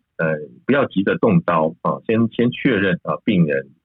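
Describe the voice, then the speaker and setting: Over music in the background, a man's fairly low voice moves through very wide pitch swings. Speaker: emergency physician and medical school vice dean. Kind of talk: interview discussion. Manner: hesitant, many fillers.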